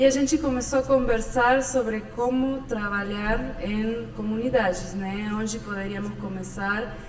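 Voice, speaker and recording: Amid audible room echo and noticeable background noise, a woman with an Argentine accent talks with hardly any pauses and fairly even intonation. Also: fairly high pitch for a woman, fairly slow pace. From Argentina. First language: Spanish (speaking Portuguese). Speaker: architect and podcast host. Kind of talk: casual podcast conversation. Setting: studio.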